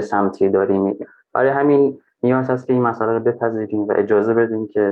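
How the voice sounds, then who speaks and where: In an ordinary speaking voice, a man talks at a fairly quick pace with fairly low pitch and fairly even intonation. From Afghanistan, raised in Iran. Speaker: Afghan migrant. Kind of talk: interview.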